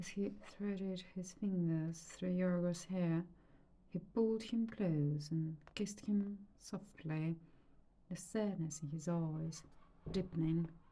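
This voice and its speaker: Very slowly, a woman speaks in a calm, dark, mellow tone that is somewhat breathy, her intonation fairly even. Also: fairly low pitch for a woman. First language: Romanian. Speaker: reader and art therapist. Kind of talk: reading aloud. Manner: calm, meditative.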